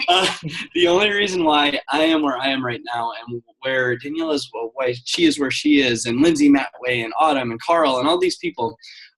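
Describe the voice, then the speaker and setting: A man speaks in an intense tone. His intonation is lively. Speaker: business coach. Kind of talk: guest talk on a conference call. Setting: conference call. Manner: fast; high energy, intense.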